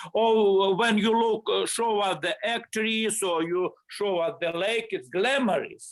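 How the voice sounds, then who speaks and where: A man with a non-native accent, high pitch and ordinary pitch variation, at a very slow pace with hardly any pauses and very even loudness. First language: not English. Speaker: study group participant. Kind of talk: study group discussion.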